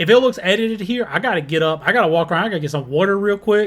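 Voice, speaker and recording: The delivery runs at a very fast pace. Its pitch swings very widely. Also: man. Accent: Southern US. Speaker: music reaction youtuber. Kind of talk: casual commentary.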